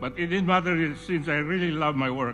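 A man talks with a Visayan Filipino accent and ordinary pitch variation. Faint music plays in the background. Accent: Filipino (Cebuano) English. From Cebu, Philippines. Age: 80s+. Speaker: entrepreneur. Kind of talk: award acceptance speech. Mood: reflective, proud. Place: hall. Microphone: podium.

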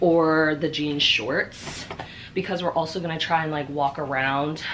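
Over light background noise, a woman with a very deep, low pitch talks at a moderate pace with fairly even intonation. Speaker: vlogger. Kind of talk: casual vlog chat. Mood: cheerful, relaxed. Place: home room. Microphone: camera far.

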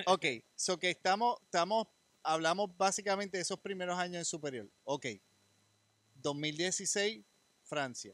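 At a fairly slow pace with long, frequent pauses, the speaker uses ordinary pitch variation in a dry sound with no echo. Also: man, high pitch for a man. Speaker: podcast co-host; podcast host interviewer. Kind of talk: casual interview. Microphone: handheld.

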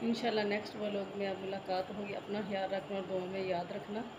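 A woman speaks at a fairly slow pace. Loud background noise is present. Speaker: vlogger. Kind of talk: casual vlog chat. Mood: warm, caring. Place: home room. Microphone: phone near.

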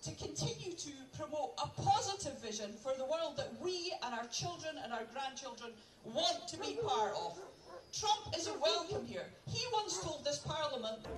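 At a moderate pace, the words come through noticeable background noise. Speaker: rally speaker. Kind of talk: rally speech to a crowd. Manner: rhetorical, call-and-response, speaking to crowd. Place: open country.

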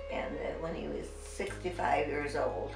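Over clear background music, a woman with an American accent speaks at a fairly slow pace. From Nebraska. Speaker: interviewee. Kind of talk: interview answer. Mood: emotional, reminiscing. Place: home room.

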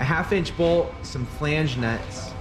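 With loud music in the background, a man talks at a fairly slow pace with ordinary pitch variation. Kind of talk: tutorial narration. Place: workshop.

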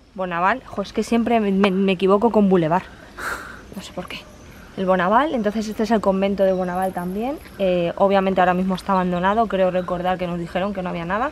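A woman's very fast, medium-pitched speech with fairly even intonation and big swings in loudness, dry with no echo, over light background noise. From Spain, not Galicia. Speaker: travel vlogger. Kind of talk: travel vlog narration. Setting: outdoors. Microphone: phone near.

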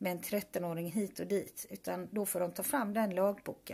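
This woman's voice has a dark, mellow tone, ordinary pitch variation and vocal fry. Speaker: vlogger, mother. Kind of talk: personal video message.

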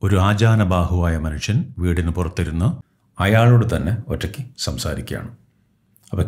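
A man's somewhat breathy voice with a very deep, low pitch. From Kerala, India. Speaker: English teacher. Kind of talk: reading aloud with translation. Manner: halting, phrase by phrase.

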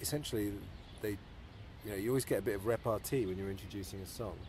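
A man speaks at a fairly low pitch, his voice somewhat breathy. The sound is dry with no echo, with light background noise. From southern England (near London). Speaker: interviewer. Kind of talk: interview. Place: home room.

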